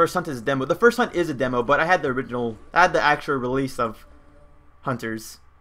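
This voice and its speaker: Over music in the background, a man with an American accent talks at a very fast pace, his fairly high pitch showing ordinary variation. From United States, Mexican heritage. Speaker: video game streamer. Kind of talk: live gameplay stream chat. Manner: casual, filler-heavy.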